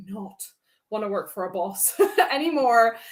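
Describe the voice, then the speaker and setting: In a Dutch accent, a woman speaks at a moderate pace with a fairly high pitch and lively intonation. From Netherlands. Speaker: public speaking coach. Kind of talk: interview. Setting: live stream. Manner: animated.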